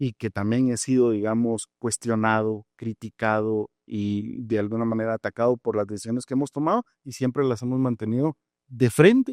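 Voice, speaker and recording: An ordinary speaking voice is heard. It keeps a moderate pace and fairly even intonation. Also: man. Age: 40s. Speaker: judge and judicial candidate. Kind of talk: interview answers. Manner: measured, formal.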